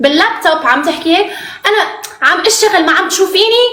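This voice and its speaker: Audible room echo surrounds a woman's raised, projected voice, pitched extremely high, with lively intonation. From Morocco. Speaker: reality TV contestant. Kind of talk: interview.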